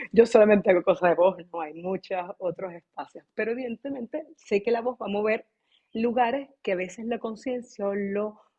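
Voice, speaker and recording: A woman at medium pitch and moderate pace, an unremarkable speaking voice. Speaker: voice teacher. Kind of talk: online class. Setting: video call.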